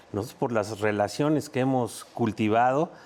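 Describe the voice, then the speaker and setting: The man speaks at medium pitch and a moderate pace, with ordinary pitch variation. Background noise can be clearly heard. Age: 60s. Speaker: former footballer and talent scout. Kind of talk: sports panel discussion.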